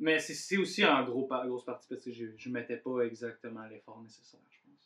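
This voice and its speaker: Man with an Abitibi accent, medium pitch, bright and sharp in tone, moderate pace, big swings in loudness. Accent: Quebec French, Abitibi. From Abitibi, Quebec. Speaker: podcast host. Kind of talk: casual chat.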